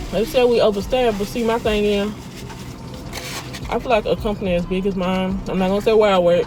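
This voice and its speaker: With noticeable background noise behind her, a woman speaks fairly quickly at a medium pitch with fairly even intonation. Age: 20s. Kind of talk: casual talk to camera.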